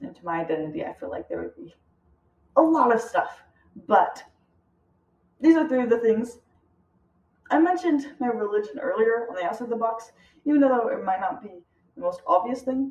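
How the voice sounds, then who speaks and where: A woman with an American accent and a high pitch talks at a fairly quick pace, with very wide pitch swings, big swings in loudness, and long, frequent pauses. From United States. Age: young. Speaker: student. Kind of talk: class presentation. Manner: hesitant, many fillers.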